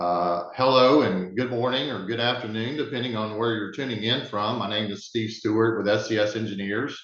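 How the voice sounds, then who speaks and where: A Southern US accent at a fairly quick pace, fairly even in intonation, with hardly any pauses and audible room echo. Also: man, medium pitch for a man. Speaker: webinar moderator, sustainability director. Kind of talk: webinar presentation. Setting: online webinar.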